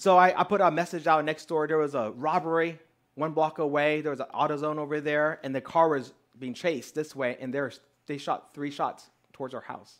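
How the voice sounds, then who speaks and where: Against a quiet background, a man with a Southern US accent speaks at a fairly quick pace with fairly even intonation. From Texas. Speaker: pastor. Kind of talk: sermon. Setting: church. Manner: casual, conversational. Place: home room.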